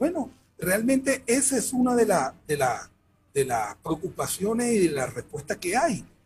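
Over music in the background, a man talks at a fairly slow pace. His high voice swings very widely in pitch. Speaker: sports management researcher. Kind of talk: interview. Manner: halting. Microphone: headphone plug problem, sound echo.

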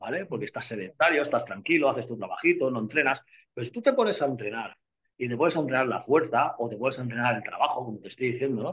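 A man at a fairly quick pace, with lively intonation. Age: 50s. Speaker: bodybuilder and nutritionist. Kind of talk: casual interview. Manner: animated.

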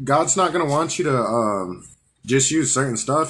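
A somewhat breathy voice belongs to the man speaking. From Albuquerque, New Mexico. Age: 20s. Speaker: coworker and guest. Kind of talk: casual chat.

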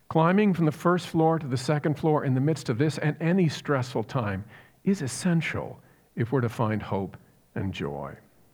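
An American-accented man with an ordinary speaking voice talks at a fairly high pitch and moderate pace, with lively intonation on a very clean recording with a silent background. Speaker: pastor. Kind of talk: sermon.

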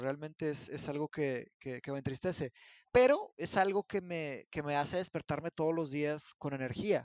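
A man speaks at a moderate pace. His pitch is fairly high and varies in an ordinary way. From northern Mexico, Monterrey. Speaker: philosophy teacher. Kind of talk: casual discussion. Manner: halting, many repetitions.

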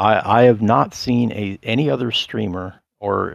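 This man talks at a fairly slow pace with ordinary pitch variation. His pitch sits fairly low. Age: 40s. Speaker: podcast host. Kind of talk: casual interview chat. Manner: halting, filler-heavy.

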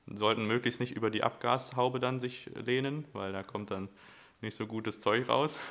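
A man with a plain, everyday voice speaks at medium pitch and a moderate pace, keeping his intonation fairly even. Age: 20s. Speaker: podcast co-host. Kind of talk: casual chat.

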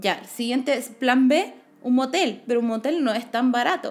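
A woman speaks at a fairly slow pace in a Chilean accent. Her pitch is high, with ordinary variation. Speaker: podcast co-host. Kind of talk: casual chat.

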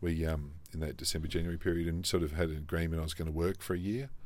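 With an Australian accent, a man speaks in a very deep, low pitch and a monotone, flat intonation amid audible room echo. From South Australia. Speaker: franchise business executive. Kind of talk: interview. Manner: hesitant with many fillers.

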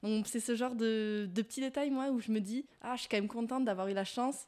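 A normal speaking voice moves at a fairly quick pace. The intonation is fairly even. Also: woman. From Landes, southwest France. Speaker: student guest. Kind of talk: casual chat, interview.

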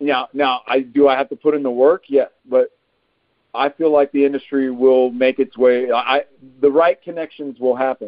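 Carrying a Texan accent, a man with fairly high pitch speaks at a moderate pace and fairly even intonation. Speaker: actor. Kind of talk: casual interview.

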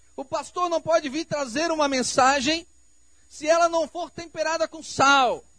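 At a fairly slow pace, a man uses a raised, projected voice at an extremely high pitch, with big swings in loudness. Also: fairly even intonation. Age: 40s. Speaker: pastor. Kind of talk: sermon. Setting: church.

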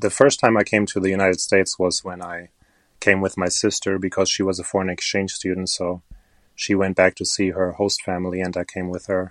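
A man with a German accent speaks at a fairly quick pace. His very deep, low pitch stays monotone and flat. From Germany. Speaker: crystal shop owner and online video creator. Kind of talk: casual interview chat. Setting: remote call recording.

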